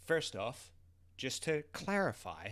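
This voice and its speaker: A man with a Southern New Zealand accent speaks at a very slow pace. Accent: Southern New Zealand (Kiwi). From New Zealand, South Island (Otago/Southland). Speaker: vlogger. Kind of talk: casual monologue vlog. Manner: animated, informal with swearing and hesitations.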